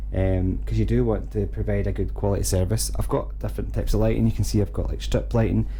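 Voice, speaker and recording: Over noticeable background noise and audible room echo, a man with a Scottish accent talks very fast in a very deep, low voice with lively intonation and hardly any pauses. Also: very even loudness. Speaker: gaming streamer. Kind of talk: casual vlog talk. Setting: home streaming room.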